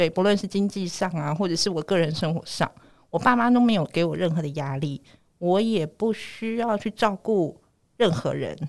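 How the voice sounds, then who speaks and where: Recorded very cleanly against a silent background, a woman with a normal speaking voice talks at a medium pitch and moderate pace with ordinary pitch variation. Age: 40s. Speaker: family caregiver sharing personal story. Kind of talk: personal testimony.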